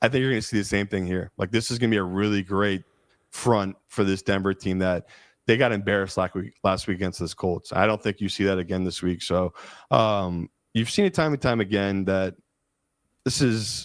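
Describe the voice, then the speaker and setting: A man with a Philadelphia accent speaks at a fairly quick pace in a fairly low pitch. The recording is very clean and dry, close with no echo and a silent background. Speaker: professional sports bettor, co-host. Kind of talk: casual sports betting discussion. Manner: animated.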